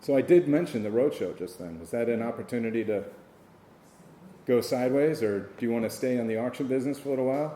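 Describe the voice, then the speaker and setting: Here a man speaks very fast with a dark, mellow tone. His pitch is medium and varies in an ordinary way. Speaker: auctioneer. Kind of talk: casual talk to an audience about the auction business.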